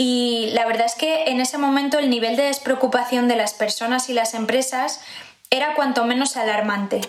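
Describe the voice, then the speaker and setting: Against noticeable background noise and audible room echo, a woman speaks in a high voice at a moderate pace. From Spain, Zamora (Castile and León). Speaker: pregnant office worker sharing lockdown experience. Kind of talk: personal testimony, read narrative.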